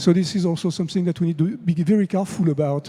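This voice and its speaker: A man with a French accent speaks at a fairly quick pace. His voice is high in pitch with a dark, mellow tone. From France. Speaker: conference speaker on AI. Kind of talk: conference talk. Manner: conversational with fillers.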